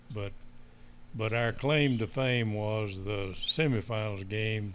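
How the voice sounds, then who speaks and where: A man with a Texan accent speaks in a fairly low voice, his intonation fairly even. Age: 80s+. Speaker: former football player. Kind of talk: interview answer.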